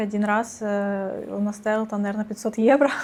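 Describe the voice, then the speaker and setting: A woman speaks with a fairly high pitch. She keeps a moderate pace. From Russia. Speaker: retail worker. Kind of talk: interview.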